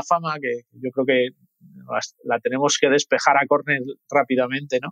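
Recorded with a dry, close sound and no echo, a man speaks at a moderate pace with fairly even intonation. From Madrid, Spain. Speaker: mortgage company executive. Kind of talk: interview.

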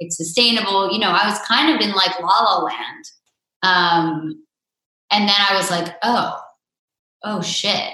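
Long, frequent pauses from a woman at a fairly slow pace, medium in pitch with ordinary pitch variation, in audible room echo. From Vermont. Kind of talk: interview.

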